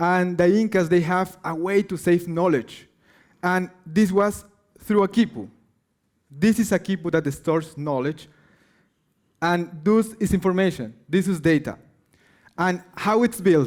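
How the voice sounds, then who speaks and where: With a Spanish accent, a man speaks in a high pitch at a fairly slow pace, using ordinary pitch variation and long, frequent pauses. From Peru. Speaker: science slam presenter, computer science researcher. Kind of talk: science slam talk. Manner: halting.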